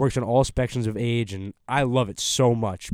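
The recording is very clean, with a silent background. A man with a plain, everyday voice speaks fairly low, with ordinary pitch variation. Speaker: college podcast host. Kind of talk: casual roundtable discussion. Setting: studio.

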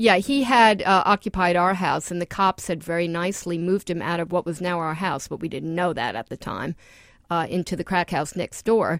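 A woman with an American accent speaks in an ordinary speaking voice at a fairly quick pace, her pitch fairly low for a woman with ordinary variation, in a dry, close sound with no echo on a very clean recording with a silent background. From New York, Queens. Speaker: author and former foreign correspondent. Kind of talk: interview.

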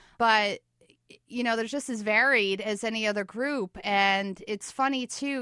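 A woman's fairly high, bright and sharp voice in a New York accent, at a moderate pace with ordinary pitch variation, dry and close with no echo against a quiet background. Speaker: documentary filmmaker. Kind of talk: interview. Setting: studio.

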